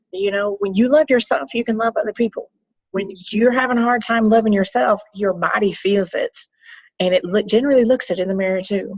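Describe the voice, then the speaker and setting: Speaking in a Southern US accent, a woman with a fairly high, somewhat breathy voice and an animated tone moves at a fairly quick pace with ordinary pitch variation, recorded dry and close with no echo. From US South. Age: 50s. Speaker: health coach. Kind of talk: casual chat.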